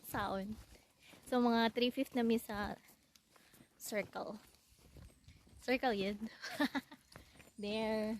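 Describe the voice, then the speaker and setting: A woman's very slow, monotone, flat delivery in a Visayan Filipino accent, full of long, frequent pauses. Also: fairly high pitch for a woman, dry, close sound with no echo. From Philippines (Visayas). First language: Bisaya (Cebuano). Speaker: vlogger. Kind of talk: casual vlog narration. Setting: outdoors.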